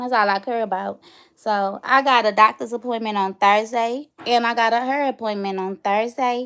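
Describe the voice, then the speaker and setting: Recorded very cleanly against a silent background, a woman talks at a moderate pace. She has an American accent and a fairly high pitch. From St. Louis, Missouri, US. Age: 30s. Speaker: YouTuber. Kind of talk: casual vlog chat. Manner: animated.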